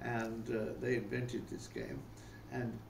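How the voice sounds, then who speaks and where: A man with a British accent and vocal fry, in a room with audible echo. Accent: older English (British). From England, Rugby (English Midlands). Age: 90s. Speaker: interviewee recounting life story. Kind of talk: casual interview, life reminiscence. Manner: hesitant, with many fillers and repetitions.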